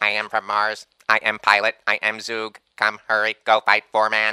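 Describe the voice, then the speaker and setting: A man at fairly low pitch, monotone and flat, at a moderate pace, in a dry, close sound with no echo. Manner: clipped, broken speech, robotic.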